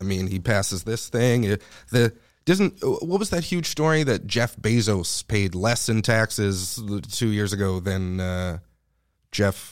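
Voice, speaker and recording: With a Montreal accent, a man talks at a fairly low pitch and a fairly slow pace. His intonation is lively, and the recording is very clean with a silent background. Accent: Montreal English Canadian. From Montreal, Quebec (NDG). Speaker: comedian. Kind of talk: casual chat.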